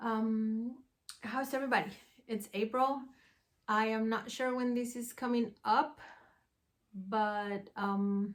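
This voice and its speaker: She talks very slowly in a fairly high voice, her intonation fairly even. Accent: Spanish. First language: Spanish. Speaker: podcast host, yarn dyer and knitter. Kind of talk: casual vlog chat. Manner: hesitant, with many fillers.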